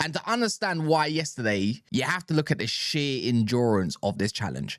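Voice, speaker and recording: A man's voice swings very widely in pitch, recorded with a dry, close sound and no echo. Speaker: football fan commentator. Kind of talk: casual reaction commentary. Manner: fast; halting, with repetitions.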